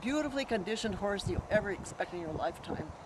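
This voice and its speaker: Over noticeable background noise, a woman at a medium pitch talks very fast with lively intonation. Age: 70s. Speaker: long-time trail rider. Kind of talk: interview.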